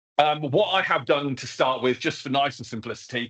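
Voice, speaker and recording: A man with a southern English accent talks at a fairly quick pace in a medium pitch. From England, further south than the audience. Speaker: education technology trainer, former teacher. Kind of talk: online training webinar. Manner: casual, filler-heavy.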